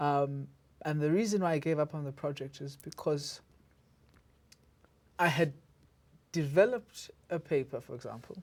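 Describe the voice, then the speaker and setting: In a South African accent, the speaker goes at a moderate pace with long, frequent pauses in a very clean recording with a silent background. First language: isiZulu. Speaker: podcast host, academic. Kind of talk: interview conversation. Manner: halting with repetitions.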